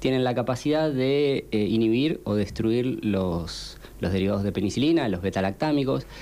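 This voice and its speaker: This man speaks at a moderate pace and medium pitch, his intonation lively and his loudness very even. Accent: Rioplatense. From Argentina, Pilar (Buenos Aires). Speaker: scientist researching antimicrobials. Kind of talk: radio interview.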